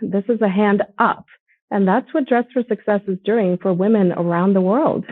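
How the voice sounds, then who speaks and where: The speaker has a plain, everyday voice. Pitch variation is ordinary. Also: woman. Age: 40s. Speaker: nonprofit ambassador. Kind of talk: conversation.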